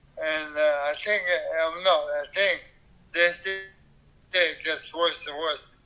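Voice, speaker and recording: A man speaks at a high pitch and a very slow pace. Noticeable background noise can be heard. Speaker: caller with ALS. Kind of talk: phone consultation. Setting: phone call. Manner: halting.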